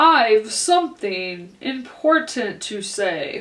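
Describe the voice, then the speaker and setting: A woman in a put-on character voice speaks very slowly, her pitch swinging very widely. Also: fairly high pitch for a woman. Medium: read story. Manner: curt, short remarks.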